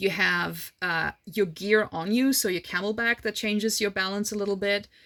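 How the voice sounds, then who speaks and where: Bright and sharp in tone, a woman with a non-native accent and medium pitch speaks at a moderate pace with fairly even intonation on a very clean recording with a silent background. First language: not English. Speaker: horse rider / endurance racer, vlogger. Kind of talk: casual Q&A monologue. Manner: casual, hesitant fillers.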